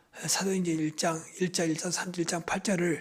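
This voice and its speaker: Noticeable background noise lies behind speech at a fairly quick pace. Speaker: pastor. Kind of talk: sermon. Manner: fast.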